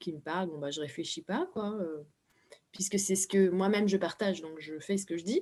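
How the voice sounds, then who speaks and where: Middling speed, typical pitch movement and a dark, mellow tone. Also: woman, medium pitch for a woman. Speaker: spiritual speaker. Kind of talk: live interview. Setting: live video stream.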